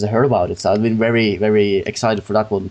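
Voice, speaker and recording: Speaking at a very fast pace, a man has a non-native accent. His pitch is fairly low. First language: not English. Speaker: gaming podcast host. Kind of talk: casual chat. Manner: halting.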